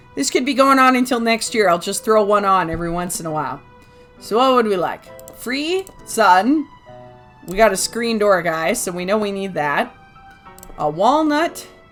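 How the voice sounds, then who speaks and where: Over music in the background, a woman at medium pitch talks at a moderate pace with very wide pitch swings. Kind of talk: casual gameplay commentary. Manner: chatty, rambling.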